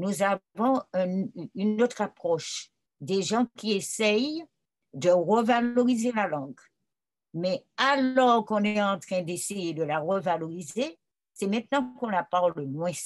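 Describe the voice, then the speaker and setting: Against a quiet background, a woman with a medium-pitched voice and lively intonation talks at a very slow pace, leaving long, frequent pauses. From Martinique. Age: old. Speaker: writer and retired school director. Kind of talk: interview answer.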